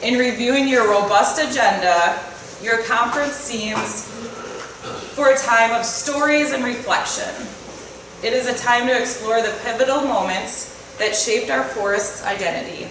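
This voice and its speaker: Over noticeable background noise and audible room echo, a woman with a fairly high pitch talks at a moderate pace with ordinary pitch variation. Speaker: state forest manager. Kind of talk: welcome speech. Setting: conference hall with audience. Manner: loud.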